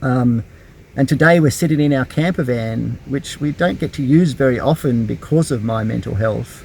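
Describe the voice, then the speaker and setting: Speaking at a moderate pace with an Australian accent, a man uses a medium pitch, ordinary pitch variation and a somewhat breathy voice. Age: 50s. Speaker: YouTuber. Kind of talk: personal vlog. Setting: in a camper van. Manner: halting.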